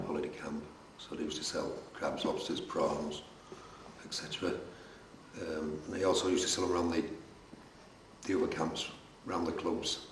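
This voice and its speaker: Over noticeable background noise, a man talks at a fairly quick pace with long, frequent pauses. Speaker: fisherman. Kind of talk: interview answer.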